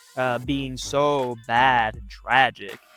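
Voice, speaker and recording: Noticeable background noise is present. A man's voice sounds over it. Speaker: storytime youtuber. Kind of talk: personal storytelling. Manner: casual, hesitant with fillers.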